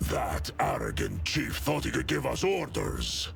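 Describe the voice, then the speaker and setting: A man performs a put-on character voice in a solemn tone. Clear background noise runs behind him. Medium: video game. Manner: gruff, solemn.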